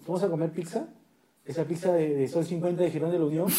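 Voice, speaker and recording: A man speaks at a high pitch and a fairly quick pace. Noticeable background noise is present. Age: 30s. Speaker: podcast co-host. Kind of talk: casual chat.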